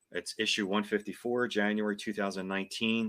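Fairly low in pitch yet bright and sharp in tone, a man talks at a fairly quick pace with fairly even intonation. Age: 50s. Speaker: card collector. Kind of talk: casual chat.

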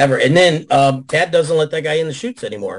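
A man with an American accent talks at a fairly quick pace in a somewhat breathy voice over a quiet background. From Chicago area. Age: 60s. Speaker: adult film performer. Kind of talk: casual chat. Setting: video call.

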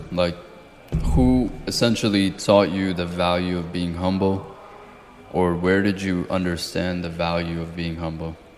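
A man speaks with a very deep, low pitch and a monotone, flat intonation. He goes at a fairly slow pace while music plays in the background. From outside the US (moved at 12). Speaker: podcast host. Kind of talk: casual interview chat.

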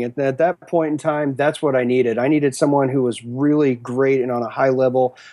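A man's dark, mellow voice at medium pitch, with an American accent. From Western Kansas. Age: 40s. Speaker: blues and rock drummer. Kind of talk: casual interview chat. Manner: halting, many fillers and repeats.

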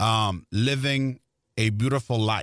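A man with a Spanish accent speaks at a very slow pace. The sound is dry and close with no echo, on a very clean recording with a silent background. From Mexico, Tijuana. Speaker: Spanish-language baseball broadcaster. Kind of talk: interview conversation. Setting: studio.

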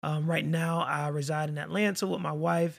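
In a very clean recording with a silent background, a man with an American accent and a fairly high pitch speaks at a moderate pace. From Florida. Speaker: accountant and podcaster. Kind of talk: casual chat.

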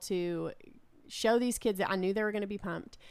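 With an ordinary speaking voice, a woman speaks at a moderate pace and medium pitch with fairly even intonation, on a very clean recording with a silent background. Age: 30s. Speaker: children's pastor and publisher. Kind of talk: casual chat.

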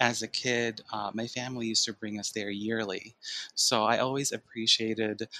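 A man with an American accent speaks at a moderate pace and a medium pitch, his intonation monotone and flat, in a dry, close sound with no echo. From Chicago. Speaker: photographer, theme park fan. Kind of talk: casual interview chat.

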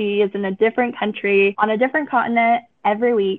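A woman with an American accent speaks at a fairly high pitch and a fairly quick pace. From US Southern California. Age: 20s. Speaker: social media influencer and raver. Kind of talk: casual interview chat. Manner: animated.

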